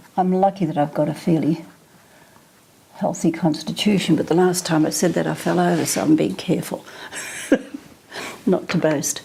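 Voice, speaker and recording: A woman with fairly low pitch and ordinary pitch variation speaks at a moderate pace. She leaves long, frequent pauses over noticeable background noise. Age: 80s+. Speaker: portrait artist. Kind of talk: interview answer.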